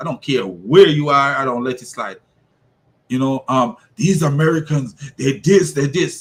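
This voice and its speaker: Animated in tone, a man with a non-native accent speaks at a moderate pace and fairly high pitch, his intonation lively and his voice somewhat breathy. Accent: noticeable foreign. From immigrant to the US. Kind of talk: opinion monologue.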